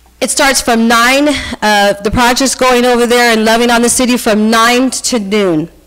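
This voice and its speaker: A woman talks in a fairly high voice, her pitch moving in an ordinary way, while noticeable noise sounds behind her. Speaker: community volunteer organizer. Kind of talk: public comment at council meeting. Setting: city council meeting. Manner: fast; animated.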